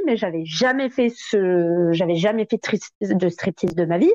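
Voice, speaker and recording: Speaking at a very slow pace with lively intonation, a woman is heard in a dry, close sound with no echo. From southern France. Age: 30s. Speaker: stripper. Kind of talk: interview.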